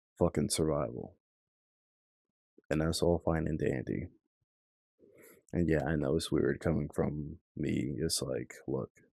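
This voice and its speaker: In a relaxed, dark, mellow tone with vocal fry, the speaker goes at a fairly slow pace with fairly even intonation and long, frequent pauses, recorded dry and close with no echo. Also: man, very deep, low pitch for a man. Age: 20s. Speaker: commentary vlogger. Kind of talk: casual monologue.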